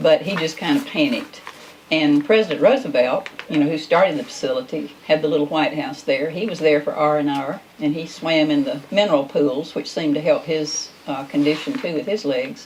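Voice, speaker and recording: A woman with a Southern US accent talks in a very deep, low voice, hardly pausing, over noticeable background noise. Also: lively intonation. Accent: Southern US (Georgia). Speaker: talk show host. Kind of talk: casual chat.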